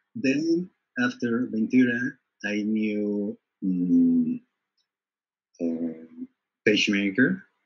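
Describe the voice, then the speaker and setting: The speaker has a Spanish accent and talks at a very slow pace. Long, frequent pauses break up the speech. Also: man. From Colombia, Bogota. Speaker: design trainer. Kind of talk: interview. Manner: halting.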